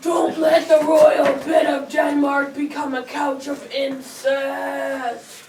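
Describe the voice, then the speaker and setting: A put-on character voice at a high pitch and very slow pace, with slight echo and clear background noise. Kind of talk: comic amateur stage play. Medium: stage play.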